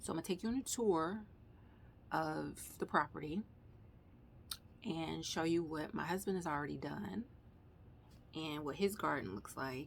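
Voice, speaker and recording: A woman speaks with very deep, low pitch and very wide pitch swings. She keeps a moderate pace, with long, frequent pauses. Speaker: gardening vlogger. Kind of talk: casual vlog tour. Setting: outdoors. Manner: loud; casual.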